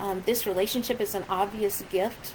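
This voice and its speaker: A woman speaks at a fairly slow pace and medium pitch, with ordinary pitch variation. The recording has audible room echo and noticeable background noise. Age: 60s. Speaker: pastor. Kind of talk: casual video message to congregation. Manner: halting, many fillers.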